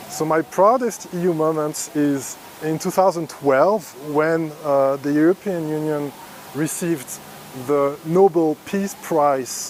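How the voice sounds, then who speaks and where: A man with fairly high pitch speaks at a very slow pace with ordinary pitch variation. Noticeable background noise is present. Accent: French. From France. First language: French. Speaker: EU staff member. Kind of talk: recorded video testimony. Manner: hesitant.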